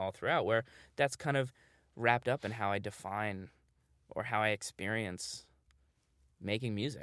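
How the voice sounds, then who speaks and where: In a very clean recording with a silent background, a man with a fairly low pitch and an American accent speaks at a moderate pace, using ordinary pitch variation and long, frequent pauses. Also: dry, close sound with no echo. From New York City, Manhattan Upper West Side. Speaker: musician. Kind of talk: interview.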